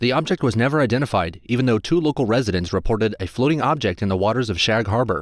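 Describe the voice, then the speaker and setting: In a very clean recording with a silent background, a man talks at a very fast pace with lively intonation and medium pitch. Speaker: voice actor. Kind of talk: documentary-style top list narration.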